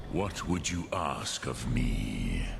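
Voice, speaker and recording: Amid loud background noise and clear echo, a man performs a put-on character voice. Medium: actual play. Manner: slow, measured, sprinkled with dragon words.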